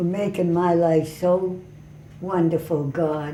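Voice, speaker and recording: A woman talking at a very slow pace, with audible room echo and noticeable background noise. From Italy. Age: 80s+. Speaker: elderly interviewee. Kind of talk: interview.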